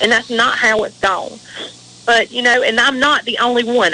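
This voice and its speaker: A woman with a slight Southern US accent, fairly high pitch and fairly even intonation, amid noticeable background noise. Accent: Southern US drawl, slight. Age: 40s. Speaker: veteran's widow and advocate. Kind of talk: radio interview. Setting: radio show. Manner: emotional, impassioned.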